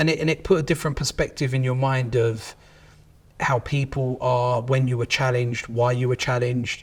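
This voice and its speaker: Speaking in a London accent, a man talks at a fairly quick pace with a somewhat breathy, medium-pitched voice and fairly even intonation. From southeast London, England. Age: 30s. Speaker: company managing director. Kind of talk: interview.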